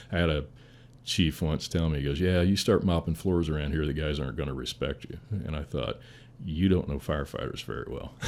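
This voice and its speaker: A man's very deep, low voice with vocal fry and an American accent, at a fairly quick pace with ordinary pitch variation. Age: 60s. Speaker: firefighter, battalion chief. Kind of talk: casual interview conversation.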